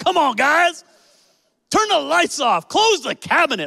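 The voice is a put-on character voice pitched high. It moves at a fairly slow pace. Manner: scolding, bossy.

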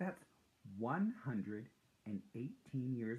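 What you hear is plain reading aloud.

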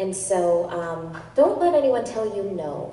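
Room echo can be heard as a woman talks at a fairly slow pace. Her intonation is lively. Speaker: voice actor panel guest. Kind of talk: panel talk, personal anecdote. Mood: earnest, encouraging. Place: hall.

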